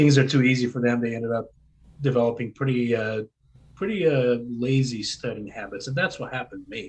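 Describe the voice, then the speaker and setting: Somewhat breathy, a man speaks at a fairly quick pace with ordinary pitch variation and big swings in loudness. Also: medium pitch for a man. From Brazil. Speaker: homeschooling parent. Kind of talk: podcast interview.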